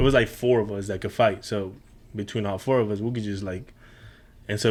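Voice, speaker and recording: A man talks at a fairly quick pace in a fairly low pitch with a Spanish accent. His intonation is monotone and flat. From Mexico, moved to Houston at 13. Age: 30s. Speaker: podcast guest, chef and coffee business owner. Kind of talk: casual interview chat.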